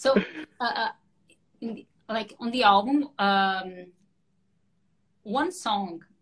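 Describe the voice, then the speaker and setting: Speaking at a very slow pace, a woman uses a fairly high pitch and lively intonation. Her loudness swings a lot, and she takes long, frequent pauses. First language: Portuguese. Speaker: singer-songwriter. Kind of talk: casual interview. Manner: halting.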